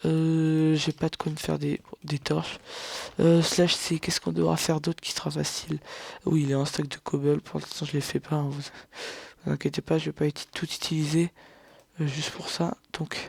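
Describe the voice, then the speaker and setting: A soft-spoken man talks at a fairly high pitch with a monotone, flat intonation. Long, frequent pauses break up his speech. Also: moderate pace, dry, close sound with no echo. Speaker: gaming youtuber. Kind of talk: let's play commentary. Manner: halting.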